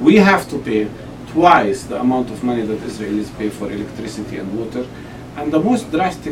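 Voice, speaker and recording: A man with an Arabic accent speaks with lively intonation amid noticeable background noise. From Palestine (Jerusalem); Palestine. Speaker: Palestinian politician and medical doctor; Palestinian politician. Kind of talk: interview. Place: office.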